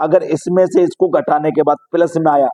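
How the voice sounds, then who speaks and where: A loud man's high-pitched voice at a fairly slow pace. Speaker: math coaching teacher. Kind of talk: tutorial. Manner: loud, straining to be heard.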